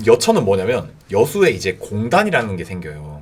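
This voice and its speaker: With vocal fry, a man talks at a moderate pace. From South Jeolla, Yeosu (Yeocheon area). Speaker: YouTuber. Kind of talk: casual personal talk.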